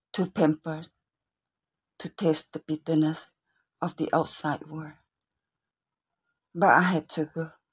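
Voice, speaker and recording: A woman speaks in a very deep, low pitch with a somewhat breathy, monotone delivery at a fairly slow pace, with long, frequent pauses and big swings in loudness, in a dry, close sound with no echo. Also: very clean recording, silent background. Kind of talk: spoken word poetry reading.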